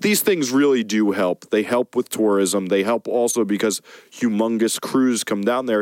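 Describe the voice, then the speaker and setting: A man with an unremarkable speaking voice talks at medium pitch, with fairly even intonation and very even loudness, in a dry, close sound with no echo. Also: moderate pace. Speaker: podcast host and music producer. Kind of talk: casual podcast banter.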